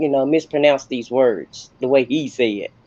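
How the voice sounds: A moderate pace in a Southern US accent. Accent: Southern American.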